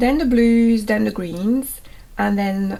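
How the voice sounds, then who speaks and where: A woman with a French accent, dark and mellow in tone, fairly slow, with ordinary pitch variation. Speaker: botanical art teacher. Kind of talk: tutorial.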